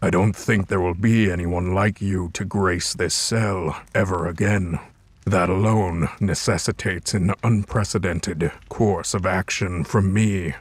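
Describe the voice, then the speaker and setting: A man puts on a character voice with a very deep, low pitch. He speaks at a fairly slow pace on a very clean recording with a silent background. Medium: machinima. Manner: calm, measured, formal.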